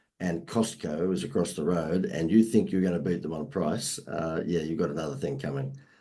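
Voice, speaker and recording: A dark, mellow tone with an Australian accent. The pace is moderate and the pitch varies in an ordinary way. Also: man. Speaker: marketing expert. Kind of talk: podcast interview.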